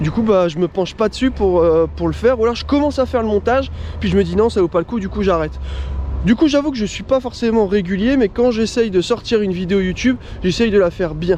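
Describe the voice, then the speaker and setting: A man's high-pitched, animated voice at a very fast pace, with ordinary pitch variation over noticeable background noise. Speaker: motocross vlogger. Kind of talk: casual vlog.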